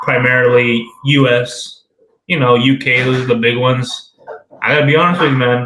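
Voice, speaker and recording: A man with an American accent speaks at a moderate pace in a medium pitch, his loudness very even and his intonation flat and monotone, with audible room echo around him. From Southern California, Redlands. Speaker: podcast co-host, soldier. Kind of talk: casual chat.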